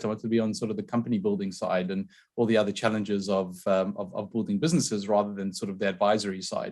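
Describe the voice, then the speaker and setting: In a South African accent, a man with a medium-pitched voice talks at a very fast pace on a very clean recording with a silent background. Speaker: tech company founder and CEO. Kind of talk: podcast interview.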